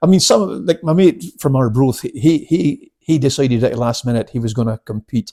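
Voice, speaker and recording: A man speaks in a Scottish accent with a dark, mellow tone. His intonation is lively and he hardly pauses. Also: medium pitch for a man, moderate pace, dry, close sound with no echo. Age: 60s. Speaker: karate instructor. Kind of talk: casual chat.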